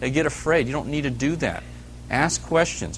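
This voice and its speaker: Noticeable noise sits in the background. A man does the talking. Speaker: sales trainer. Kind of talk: training talk. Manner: calm, low-key.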